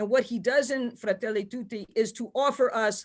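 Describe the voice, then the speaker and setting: The speech goes at a moderate pace. It is captured in a very clean recording over a silent background. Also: woman. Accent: New York. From New York. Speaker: theology professor. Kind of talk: panel lecture.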